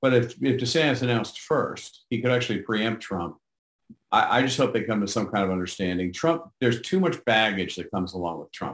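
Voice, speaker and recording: A man with an American accent speaks at a fairly quick pace in an unremarkable speaking voice, his pitch medium and his intonation lively. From New York City, Manhattan Upper East Side. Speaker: novelist. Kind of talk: interview.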